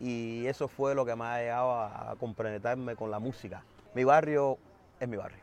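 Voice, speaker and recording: A man with a Havana Cuban accent speaks at medium pitch and a moderate pace with fairly even intonation, in a dry sound with no echo and light background noise. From Cuba, Havana (Centro Habana). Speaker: musician. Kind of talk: interview. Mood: warm, reminiscing. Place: street.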